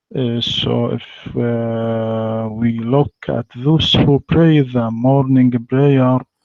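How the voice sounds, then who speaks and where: A man talks with an Arabic accent at a very slow pace, with hardly any pauses. His pitch is medium and his intonation fairly even. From Egypt. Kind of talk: debate. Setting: online voice chat. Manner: halting.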